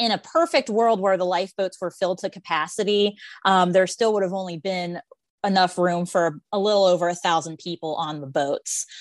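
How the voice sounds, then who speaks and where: Against a quiet background, a woman speaks in a plain, everyday voice at a fairly quick pace. Her pitch is medium, with ordinary variation. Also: dry, close sound with no echo. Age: 30s. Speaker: Titanic enthusiast. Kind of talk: casual chat.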